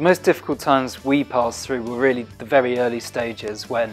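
With faint music in the background, a man talks at a fairly quick pace with fairly even intonation. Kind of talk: interview answer. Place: office.

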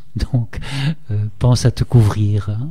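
The man's pitch shifts in an ordinary way. He speaks at a very slow pace. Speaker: art historian; radio interviewee. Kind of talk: radio interview. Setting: studio. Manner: halting, many repetitions. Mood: calm explanatory. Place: studio.

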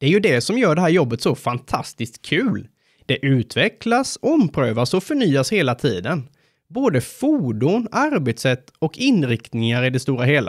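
At a fairly high pitch with very wide pitch swings and very even loudness, a man talks at a moderate pace in a dry, close sound with no echo and a very clean recording with a silent background. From Sweden, Småland (Sävsjö). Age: 30s. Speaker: firefighter and incident commander. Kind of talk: scripted narration.

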